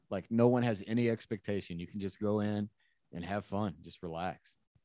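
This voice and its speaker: A man's fairly low voice with ordinary pitch variation, dry and close with no echo, on a very clean recording with a silent background. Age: 40s. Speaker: podcast co-host, jiu-jitsu hobbyist. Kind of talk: casual chat.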